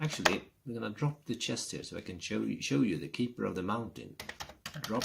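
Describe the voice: Lively intonation colors this plain reading aloud.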